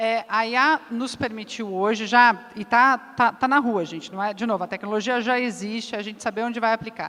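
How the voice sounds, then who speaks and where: A woman with a fairly high pitch and a bright, sharp tone speaks at a moderate pace. She keeps a fairly even intonation and hardly any pauses. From southern Brazil, Curitiba. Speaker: business executive, panelist. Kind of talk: panel discussion.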